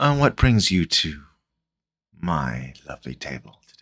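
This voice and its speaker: Soft-spoken, a man uses a put-on character voice with a very deep, low pitch. He keeps a moderate pace. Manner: calm, welcoming.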